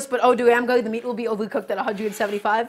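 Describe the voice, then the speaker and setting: A woman puts on a raspy character voice, fairly high in pitch, talking very fast in a flat, monotone way. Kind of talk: casual live-stream cooking commentary. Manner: put-on French voice.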